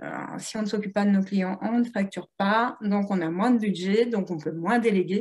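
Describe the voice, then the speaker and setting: A somewhat breathy woman's voice at a medium pitch. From Italian heritage. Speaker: entrepreneur, platform founder. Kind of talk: interview. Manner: animated.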